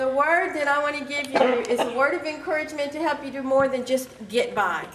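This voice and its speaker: Talking at a fairly quick pace, a woman has a high pitch with ordinary pitch variation. Audible room echo and noticeable background noise surround her. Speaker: keynote speaker and life coach. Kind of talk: keynote speech. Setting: stage with audience. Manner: conversational, animated.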